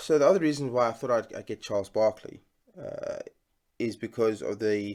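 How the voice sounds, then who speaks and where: A man talks with a South African accent at a medium pitch. His pace is moderate, and his pitch variation is ordinary. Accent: South African, sometimes heard as Australian. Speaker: sports card collector and YouTuber. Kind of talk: casual unboxing vlog. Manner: hesitant, many fillers.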